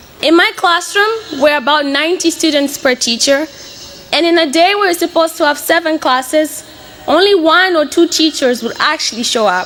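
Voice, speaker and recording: Over noticeable background noise, a woman speaks at a moderate pace in an extremely high-pitched voice. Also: ordinary pitch variation. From Mozambique (Beira). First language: Portuguese. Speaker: college student. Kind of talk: speech to an audience.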